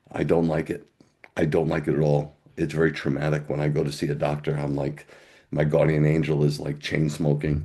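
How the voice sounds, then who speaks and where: Fairly quick in pace, a man speaks with a very deep, low pitch in a flat monotone. His tone is dark and mellow. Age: 60s. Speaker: pastor. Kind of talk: testimony.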